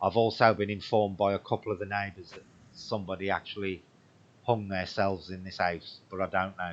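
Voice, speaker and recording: A man in an English Midlands accent, fairly low in pitch, fairly quick, and monotone and flat in intonation. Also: big swings in loudness. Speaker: paranormal livestream host. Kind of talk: livestream chat. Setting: home livestream.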